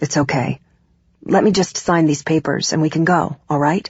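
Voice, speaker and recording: Putting on a character voice, a woman sounds raspy at a very deep, low pitch, with fairly even intonation and a moderate pace. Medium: read story. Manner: warm, affectionate.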